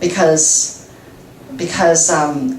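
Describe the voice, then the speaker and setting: A woman is speaking amid noticeable background noise. There is audible room echo. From Taiwan. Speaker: radio translator and host. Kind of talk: guest talk with Q&A. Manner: stutters, many fillers.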